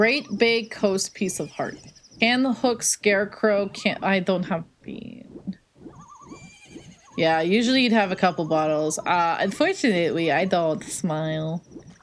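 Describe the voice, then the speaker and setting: Over noticeable background noise, a woman with an American accent talks at a fairly slow pace, with medium pitch and lively intonation. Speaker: streamer. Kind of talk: casual chat. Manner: animated.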